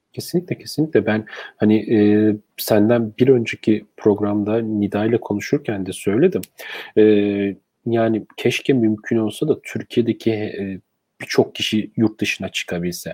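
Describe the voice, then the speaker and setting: A man's dark, mellow tone, dry and close with no echo, in a very clean recording over a silent background. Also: medium pitch for a man, ordinary pitch variation, moderate pace. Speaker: live stream host. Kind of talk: live stream interview.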